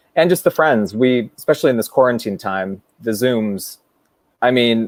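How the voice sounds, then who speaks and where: A man's plain, everyday voice with an American accent, medium pitch, ordinary pitch variation, and a moderate pace, in dry, close sound with no echo. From US West Coast, San Francisco. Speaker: Broadway performer and director. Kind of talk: casual chat.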